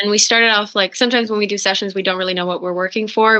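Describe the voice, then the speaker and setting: Using a Norwegian accent, a woman speaks very fast at a medium pitch with monotone, flat intonation. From Norway. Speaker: singer-songwriter. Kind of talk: interview.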